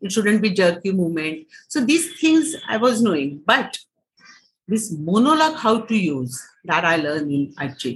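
A woman talks at a moderate pace, her voice somewhat breathy. Her pitch swings very widely. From Maharashtra, India. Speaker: writer, actor and theatre director. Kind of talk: interview conversation. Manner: hesitant with frequent fillers.

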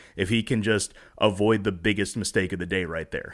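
A man speaks in an ordinary speaking voice at a medium pitch. The recording is very clean, with a silent background. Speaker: sports podcast host. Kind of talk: casual chat.

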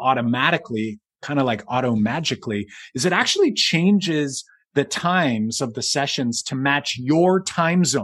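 In a normal speaking voice, a man speaks with lively intonation at a fairly high pitch, on a very clean recording with a silent background. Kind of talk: casual chat, podcast conversation. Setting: video recording, podcast.

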